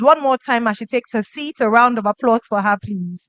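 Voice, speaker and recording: A woman speaks with a Nigerian accent at a fairly high pitch. Her intonation is fairly even, and the sound is dry and close with no echo. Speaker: event emcee. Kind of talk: event emceeing. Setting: stage with audience.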